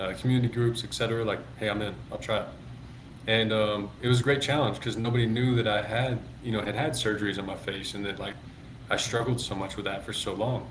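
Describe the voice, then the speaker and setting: Audible room echo surrounds a man of medium pitch speaking very fast with an American accent and fairly even intonation. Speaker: former minor league baseball player and public speaker. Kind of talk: interview conversation. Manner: pitch varies, goes up and down a lot; occasionally mumbles.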